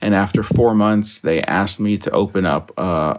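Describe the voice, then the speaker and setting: This man has a fairly low voice with vocal fry. His pitch varies in an ordinary way. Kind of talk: casual chat.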